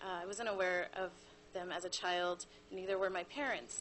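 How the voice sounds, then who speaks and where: Her pitch medium, a woman delivers her words at a moderate pace. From US, Cuban American family. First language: Spanish. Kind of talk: prepared presentation.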